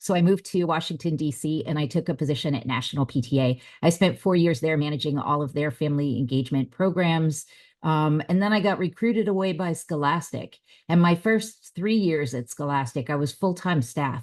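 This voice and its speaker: A woman with a Californian accent, her very deep, low pitch showing ordinary variation, at a fairly quick pace over a quiet background. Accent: non-Southern, Californian. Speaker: family engagement trainer. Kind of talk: conference presentation.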